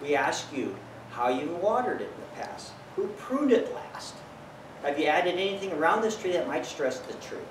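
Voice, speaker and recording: Over noticeable background noise, a man with an American accent and a high pitch speaks at a moderate pace, his pitch swinging very widely. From Bakersfield, California, USA. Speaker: tree doctor, certified arborist. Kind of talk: business promotional talk to camera. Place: garden. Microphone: camera far.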